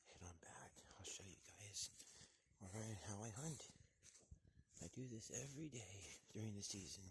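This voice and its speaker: Somewhat breathy and fairly low in pitch, a man speaks with long, frequent pauses. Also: ordinary pitch variation, moderate pace. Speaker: hunter vlogger. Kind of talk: outdoor hunting vlog. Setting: outdoors.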